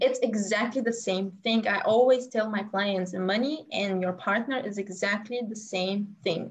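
A woman with a Bulgarian accent speaks at a medium pitch and a fairly slow pace, with fairly even intonation and hardly any pauses. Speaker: business coach. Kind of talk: interview.

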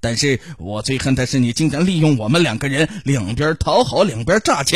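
The clip has an unforced reading voice. Its intonation is lively.

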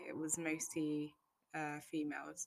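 A woman with a British accent talks at a fairly slow pace in a very deep, low pitch. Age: 20s. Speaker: podcaster, wig maker. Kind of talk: solo monologue, casual reflection. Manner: unscripted, hesitant with fillers.

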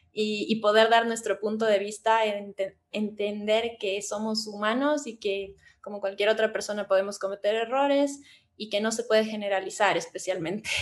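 A woman speaks in a normal speaking voice, fairly high in pitch, at a moderate pace with fairly even intonation. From Ecuador, Cuenca. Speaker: tattoo artist and psychologist. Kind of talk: casual chat.

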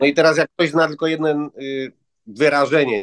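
Recorded in a dry, close sound with no echo, a man talks at a fairly quick pace. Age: 50s. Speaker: language course student. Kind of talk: interview. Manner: halting.

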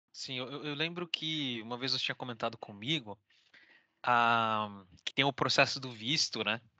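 Here is an unremarkable speaking voice, a man's, with medium pitch and ordinary pitch variation. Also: moderate pace. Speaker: podcast host. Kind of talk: casual interview.

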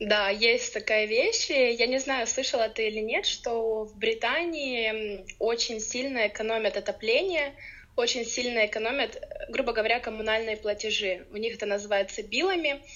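A woman speaks in a normal speaking voice at a fairly high pitch. Her pace is moderate and her pitch variation ordinary. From Ukraine. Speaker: podcast guest, blogger. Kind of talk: casual interview.

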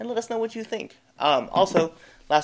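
A man's very fast speech with lively intonation. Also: very clean recording, silent background. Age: 30s. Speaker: MMA podcast host. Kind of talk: casual sports chat.

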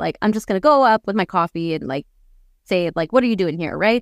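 An unremarkable speaking voice with a Canadian accent and ordinary pitch variation comes through dry and close, with no echo. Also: woman. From Canada. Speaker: missionary turned business owner. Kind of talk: interview storytelling. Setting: remote interview.

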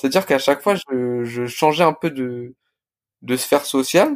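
The recording is very clean, with a silent background. The sound is dry and close, without any echo. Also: man. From Paris suburbs, France (Blanc-Mesnil). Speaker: restaurant co-founder. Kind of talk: casual interview. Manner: hesitant, many fillers and repetitions.

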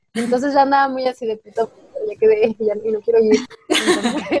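The sound is dry and close, with no echo. A woman speaks at a high pitch with ordinary pitch variation. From Mexico, Guanajuato. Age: 20s. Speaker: painter. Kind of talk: casual chat. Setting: remote call recording.

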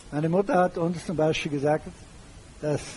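A man talks at a high pitch with ordinary pitch variation. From Germany. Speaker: retired banker and public speaker. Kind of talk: lecture.

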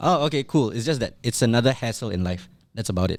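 On a very clean recording with a silent background, a man speaks fairly quickly at medium pitch in a plain, everyday voice. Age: 30s. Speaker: podcast host. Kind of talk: casual chat.

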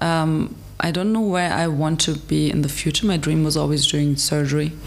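Noticeable background noise sits behind a woman with a very deep, low pitch speaking at a moderate pace. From Germany, Frankfurt. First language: German and Turkish. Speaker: medical student and ambassador. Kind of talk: interview conversation.

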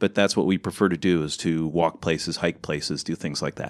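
Recorded very cleanly against a silent background, a man with a Midwestern American accent speaks at a fairly quick pace. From US Midwest, Ohio. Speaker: podcast co-host. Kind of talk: casual chat.

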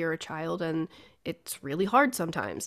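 This woman's fairly low-pitched voice moves at a moderate pace. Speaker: podcast host at a bookshop. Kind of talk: casual chat. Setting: video call.

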